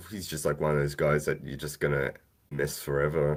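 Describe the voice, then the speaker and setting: Speaking in a very deep, low pitch, a man talks with an Australian accent. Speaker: podcast co-host. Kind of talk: casual chat.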